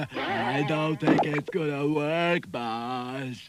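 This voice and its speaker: A man uses a cartoonish character voice with a fairly high pitch. He talks at a very slow pace. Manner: slow, dopey.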